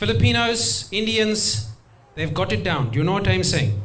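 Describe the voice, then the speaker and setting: A man with a South African accent talks at a moderate pace with very wide pitch swings, with audible room echo and noticeable background noise. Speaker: stand-up comedian. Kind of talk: stand-up.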